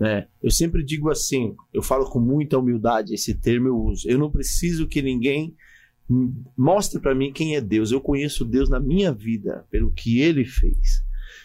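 With music in the background, a man talks at a moderate pace in a fairly high voice, keeping very even loudness and ordinary pitch variation. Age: 40s. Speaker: pastor. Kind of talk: casual interview with personal testimony.

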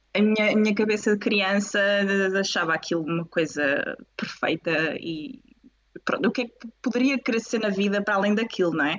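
A woman's medium pitch at a moderate pace, with ordinary pitch variation. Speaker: pelvic physiotherapist. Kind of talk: casual interview. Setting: video call live stream. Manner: animated.

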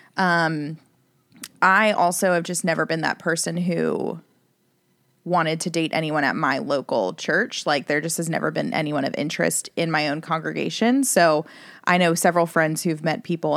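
A woman's fairly low voice with vocal fry, in a very clean recording with a silent background. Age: 30s. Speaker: dating app user. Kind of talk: casual chat.

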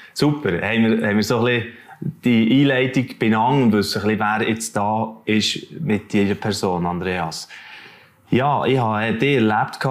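A man speaks at a moderate pace with a medium pitch. His loudness stays very even, and his pitch varies in an ordinary way. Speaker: talk show host. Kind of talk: interview.

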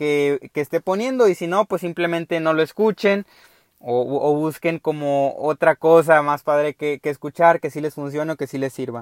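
At a fairly slow pace, a man speaks with a fairly high pitch and ordinary pitch variation, the sound dry and close with no echo. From Mexico, Veracruz. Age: 20s. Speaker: podcast host, mechatronics engineer. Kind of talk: casual monologue. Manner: halting, with many fillers and repetitions.

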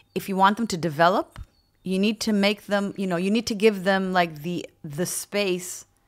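A woman in a plain, everyday voice speaks at a medium pitch and a fairly slow pace with fairly even intonation, on a very clean recording with a silent background. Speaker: VP of people at a tech company. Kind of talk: interview.

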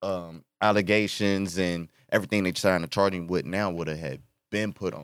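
A man with a very deep, low pitch speaks in an animated tone at a moderate pace, in a dry, close sound with no echo, on a very clean recording with a silent background. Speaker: rapper. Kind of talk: casual podcast chat. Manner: animated, slangy.

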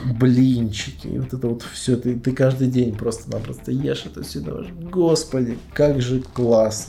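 A man speaks at a medium pitch and a fairly slow pace with hardly any pauses, over noticeable background noise. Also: ordinary pitch variation. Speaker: podcast host. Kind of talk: casual chat. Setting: bedroom at night, lights off. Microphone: laptop mic placed on a bed.

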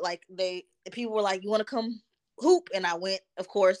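In a normal speaking voice, a woman with an American accent holds a medium pitch and fairly even intonation, the sound dry and close with no echo. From Texas, Dallas. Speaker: licensed counselor, former athlete. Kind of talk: interview.

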